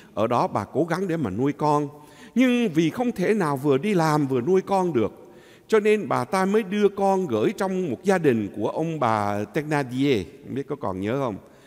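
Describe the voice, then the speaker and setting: Against a quiet background, a man speaks fairly slowly, his pitch swinging very widely. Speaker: priest. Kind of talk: homily. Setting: church. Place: church.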